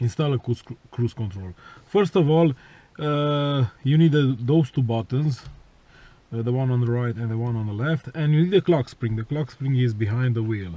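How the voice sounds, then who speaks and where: A man with a non-native accent, medium in pitch, moderate in pace, with ordinary pitch variation. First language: not English. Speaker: car enthusiast vlogger. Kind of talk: tutorial. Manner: halting, many fillers.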